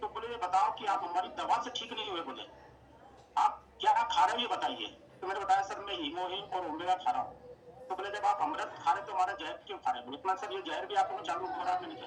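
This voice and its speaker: Noticeable background noise surrounds a man whose high-pitched voice has lively intonation. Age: 60s. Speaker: product user giving a health testimonial. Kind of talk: testimony. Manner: halting, many fillers.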